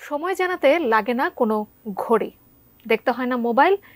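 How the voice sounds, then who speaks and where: The woman's voice makes very wide pitch swings, heard in a dry, close sound with no echo. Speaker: news anchor. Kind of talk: TV news intro.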